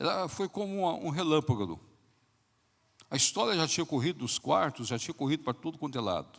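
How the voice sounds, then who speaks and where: A man speaks at a fairly quick pace in a fairly high pitch, with lively intonation and some vocal fry. His pauses are long and frequent. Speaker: pastor. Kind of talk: sermon. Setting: church. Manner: soft-spoken.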